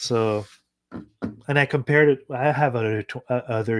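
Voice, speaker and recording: On a very clean recording with a silent background, a man in a French Canadian accent speaks at a moderate pace. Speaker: electronics hobbyist YouTuber. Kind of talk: casual live stream chat while coding. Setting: live stream. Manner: halting, many fillers.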